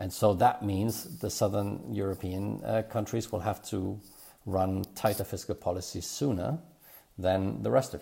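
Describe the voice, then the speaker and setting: This man's voice sits fairly low and has a dark, mellow tone with some vocal fry. He talks at a moderate pace with lively intonation. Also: very clean recording, silent background. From Germany. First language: German. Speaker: economist at a think tank. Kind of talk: policy discussion podcast. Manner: hesitant, many fillers and repetitions.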